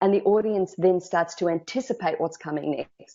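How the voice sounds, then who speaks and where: A woman speaks at a moderate pace in a fairly low voice with an Australian accent. Her pitch varies in an ordinary way. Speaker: speaker coach. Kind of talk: interview. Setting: live video stream.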